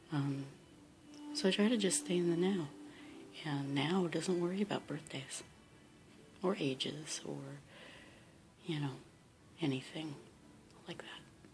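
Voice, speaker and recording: With music in the background and audible room echo, a woman speaks at a fairly slow pace and a fairly low pitch, showing ordinary pitch variation and long, frequent pauses. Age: 40s. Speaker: vlogger. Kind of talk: casual vlog and reading aloud.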